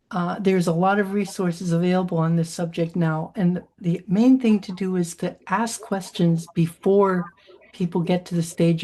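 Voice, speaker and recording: A woman speaks at a moderate pace with a fairly low, somewhat breathy voice. Her tone is dark and mellow, and her intonation fairly even. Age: 80s+. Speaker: keynote speaker. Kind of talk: Q&A answer at a virtual conference.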